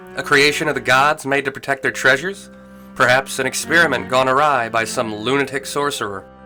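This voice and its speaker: With music in the background, a man at a medium pitch talks at a moderate pace in a relaxed, playful tone. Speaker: video game lore narrator. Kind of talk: casual lore narration. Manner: relaxed, natural, playful.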